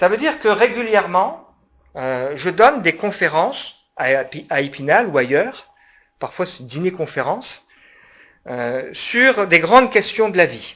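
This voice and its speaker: At a fairly slow pace, a man speaks in a high, bright, sharp voice with very wide pitch swings and big swings in loudness. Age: 40s. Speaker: pastor and public speaker. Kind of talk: public lecture. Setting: conference hall with audience. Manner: hesitant, many fillers.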